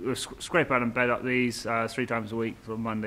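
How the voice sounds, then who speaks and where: With a West Country accent, a man rattles along at a very fast pace in a fairly low pitch and a monotone, flat delivery. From Dorset, England. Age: 20s. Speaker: stockman. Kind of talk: casual explanation on location. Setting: outdoors and in a barn. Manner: halting.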